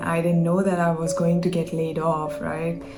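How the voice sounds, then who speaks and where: With a non-native accent and a fairly low pitch, a woman talks at a moderate pace in a monotone, flat intonation, with audible room echo and music in the background. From India. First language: not English. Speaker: content creator. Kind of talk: personal vlog rant. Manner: hesitant, many fillers.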